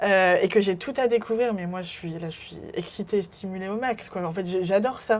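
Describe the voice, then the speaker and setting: A woman's medium-pitched voice at a moderate pace, with ordinary pitch variation, big swings in loudness and hardly any pauses. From France, Burgundy near Mâcon. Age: 20s. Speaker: podcast guest sharing life story. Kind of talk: interview testimony. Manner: hesitant, many fillers.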